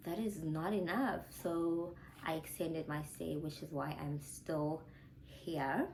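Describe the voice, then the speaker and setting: A woman speaks very slowly in a very deep, low voice with ordinary pitch variation, and the room echo is audible. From South Africa. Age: 20s. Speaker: YouTuber, former physiotherapist. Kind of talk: casual Q&A vlog chat.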